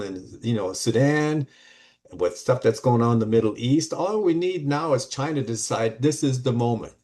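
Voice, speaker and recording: A man speaks at a medium pitch with an American accent, against a quiet background. His tone is dark and mellow. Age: 70s. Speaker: study group participant. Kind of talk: group discussion. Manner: animated.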